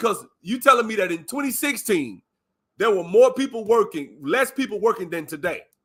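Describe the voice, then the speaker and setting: A man with an Alabama accent speaks in a raised, projected voice at a moderate pace, high in pitch for a man. His tone is animated, bright and sharp, with very wide pitch swings. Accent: Southern, Alabama country. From US South, Alabama. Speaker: live stream commentator. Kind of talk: casual chat.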